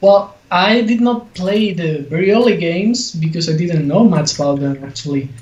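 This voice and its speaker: Over noticeable background noise, a man speaks at a high pitch and moderate pace, with lively intonation and hardly any pauses. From Spain. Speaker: game developer. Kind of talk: casual interview.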